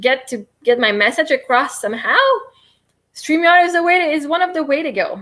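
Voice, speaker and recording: A woman's high, bright, sharp voice with a Quebec accent, very wide pitch swings and a fairly quick pace. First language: French. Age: 30s. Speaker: livestreamer and self-help coach. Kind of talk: live stream guided tapping session. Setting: live stream. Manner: fast.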